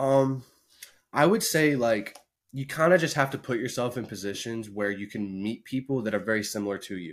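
A man at medium pitch with a Midwestern American accent, moderate pace and ordinary pitch variation, in a very clean recording with a silent background. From Indiana. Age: 20s. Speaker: streamer and video editor. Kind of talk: casual chat.

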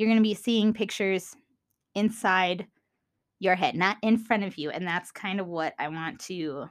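In a Minnesotan accent, a woman speaks with an enthusiastic tone at a fairly slow pace. The recording is very clean, with a silent background. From US Minnesota. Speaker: podcast host. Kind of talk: solo podcast monologue, educational chat. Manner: casual, enthusiastic.

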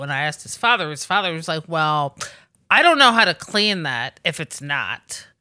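Bright and sharp in tone, a woman with an American accent speaks at a fairly quick pace. Her pitch swings very widely, and the recording is very clean with a silent background. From Washington DC. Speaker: podcast co-host. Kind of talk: casual chat. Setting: studio.

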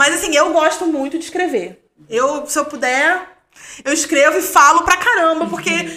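A woman speaks in a raised, projected voice. Her pitch is extremely high. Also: ordinary pitch variation, moderate pace. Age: 30s. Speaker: doctoral student in history of science. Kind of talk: casual chat.

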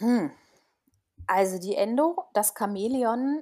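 The voice belongs to a woman. It is captured very cleanly, with nothing heard behind it. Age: 40s. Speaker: naturopath. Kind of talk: casual interview.

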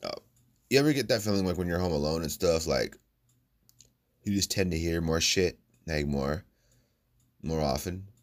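Long, frequent pauses break up a man's moderate-paced speech. He has an American accent and a very deep, low pitch. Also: ordinary pitch variation. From United States. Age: 20s. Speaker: podcast host. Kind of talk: casual monologue.

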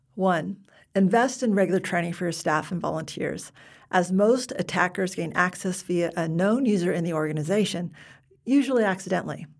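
Captured on a very clean recording with a silent background, a woman with an unremarkable speaking voice and an American accent talks at a fairly quick pace, medium pitch and ordinary pitch variation. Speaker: podcast host. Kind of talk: casual interview.

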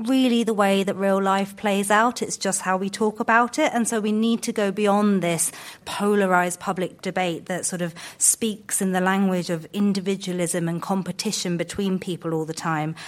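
An ordinary speaking voice at a moderate pace with ordinary pitch variation, in a very clean recording with a silent background. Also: woman. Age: 30s. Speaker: think tank founder. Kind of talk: panel discussion. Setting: stage with audience.

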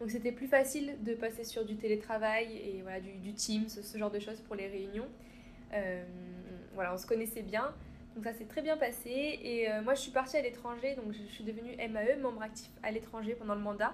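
A woman's unremarkable speaking voice, fairly high, with fairly even intonation, big swings in loudness and a moderate pace. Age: 20s. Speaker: student. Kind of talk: interview.

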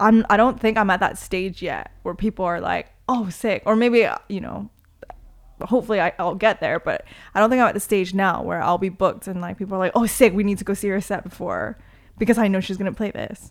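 Vocal fry from a woman at medium pitch, with fairly even intonation and a fairly quick pace. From Toronto, Canada (born in Korea, moved at six). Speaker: DJ and promoter. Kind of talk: casual interview chat.

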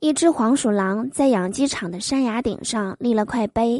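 A woman with lively intonation at a fairly slow pace, in a dry, close sound with no echo. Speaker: comedy podcast host. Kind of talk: joke telling. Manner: animated.

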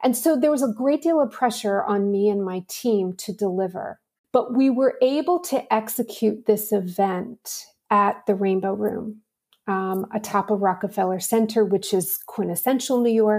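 Recorded very cleanly against a silent background, a woman with an American accent has a plain, everyday voice of fairly high pitch. She speaks at a moderate pace with ordinary pitch variation. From Pittsburgh, Pennsylvania, US. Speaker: marketing executive. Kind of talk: interview.

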